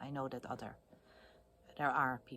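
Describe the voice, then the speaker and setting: A woman talks with a Dutch accent. Her pitch is very deep and low. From Netherlands. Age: 50s. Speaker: video blogger. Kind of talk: casual monologue. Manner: hesitant, many fillers.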